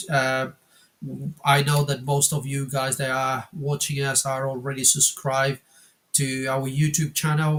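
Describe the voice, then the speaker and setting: Speaking in a Spanish accent, a man keeps a moderate pace. His pitch is fairly high and his intonation is monotone and flat. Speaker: wargaming channel co-host. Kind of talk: casual chat. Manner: halting, many fillers.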